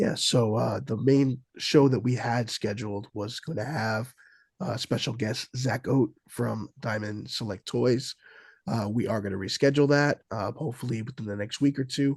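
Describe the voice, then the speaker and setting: A man speaks at a moderate pace in a somewhat breathy, medium-pitched voice with ordinary pitch variation, the sound dry and close with no echo. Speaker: podcast co-host. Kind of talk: casual chat. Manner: quieter than usual.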